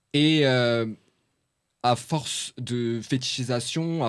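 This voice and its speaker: A man speaks with a Paris suburban accent in a very clean recording with a silent background. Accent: Parisian banlieue street accent, adopted. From France. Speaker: journalist and author. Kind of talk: podcast interview. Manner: hesitant, many fillers.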